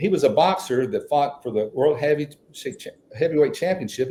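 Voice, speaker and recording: A man with a West Texas accent. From Texas (Midland). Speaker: author and songwriter. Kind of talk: storytelling in a podcast interview. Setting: podcast interview.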